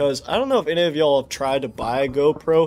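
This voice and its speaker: Background music accompanies the speech. The delivery is fairly quick. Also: man. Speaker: gaming streamer. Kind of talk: casual live stream chat. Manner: sleepy-sounding. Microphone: mic far away, poor audio setup.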